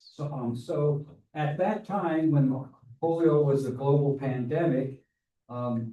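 The male voice has a dark, mellow tone and is somewhat breathy. Its pitch moves in an ordinary way. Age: 70s. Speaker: polio survivor and Rotary polio program chair. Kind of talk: speech to a club meeting. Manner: halting, with many repeated words.

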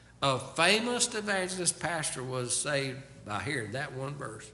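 Very wide swings in pitch mark this man's speech. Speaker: pastor. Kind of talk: sermon. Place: church. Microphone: podium.

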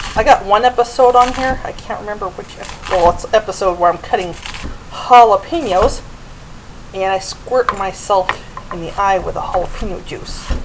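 The delivery moves at a moderate pace. Noticeable background noise runs underneath. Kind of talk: cooking tutorial. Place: kitchen. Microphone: camera far.

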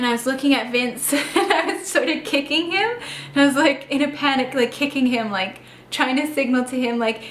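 A woman speaks at a moderate pace in a high pitch with ordinary pitch variation, over light background noise and audible room echo. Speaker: vlogger telling a personal story. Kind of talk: casual vlog chat. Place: home room.

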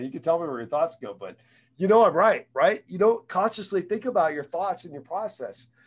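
Against a quiet background, a man talks at a fairly quick pace with lively intonation and an animated tone. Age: 40s. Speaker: sales trainer and motivational speaker. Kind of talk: interactive online sales training talk. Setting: video call. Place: home room. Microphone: studio mic.

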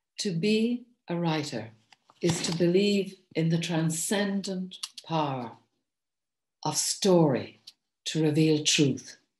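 A woman with an Irish accent speaks very slowly at a fairly low pitch, somewhat breathy, with ordinary pitch variation, long, frequent pauses and audible room echo. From Ireland. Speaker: poet and author; poet. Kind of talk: recorded address. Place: home room. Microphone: webcam.

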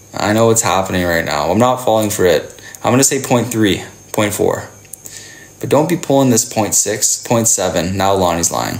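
With ordinary pitch variation, a man talks at a moderate pace in a fairly low pitch. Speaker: live streamer. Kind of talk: casual live stream chat with viewers. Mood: playful, teasing. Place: home room. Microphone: phone near.

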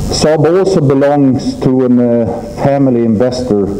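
With music in the background, a man talks at a very slow pace. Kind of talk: press conference speech. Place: hall. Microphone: podium.

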